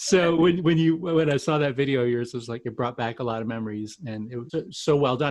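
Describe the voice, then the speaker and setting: Using an American accent, a man with a fairly high pitch speaks very fast with ordinary pitch variation. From Quebec. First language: French. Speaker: podcast host. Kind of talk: podcast interview.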